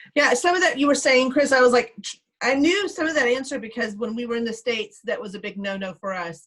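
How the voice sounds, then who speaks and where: The speaker talks at a very fast pace with lively intonation. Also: woman. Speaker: PTA treasurer trainer. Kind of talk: online training session Q&A.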